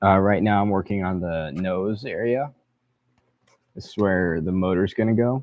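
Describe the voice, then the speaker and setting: A fairly slow pace with ordinary pitch variation. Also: man. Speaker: streamer building a model plane. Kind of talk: casual livestream commentary.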